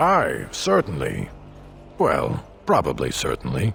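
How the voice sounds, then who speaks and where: A man puts on a character voice at a fairly slow pace. Background noise is clearly present. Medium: video game. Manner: blunt, grumbling.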